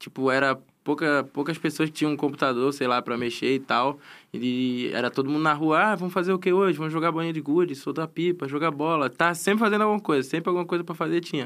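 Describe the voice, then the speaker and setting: Very fast and fairly high in pitch, a man rattles through his words. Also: ordinary pitch variation, very clean recording, silent background. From Florianópolis, Santa Catarina, Brazil. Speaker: professional esports player. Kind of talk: casual chat. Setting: studio.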